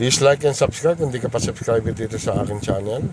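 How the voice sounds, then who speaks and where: Lively in intonation, a man's voice comes through dry with no echo but with noticeable background noise. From Philippines. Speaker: car rental vlogger showing vehicles. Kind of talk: street seller pitchman. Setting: in a car, walkaround video. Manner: upbeat, promotional, animated; halting, repeats filler words. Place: car. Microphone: phone near.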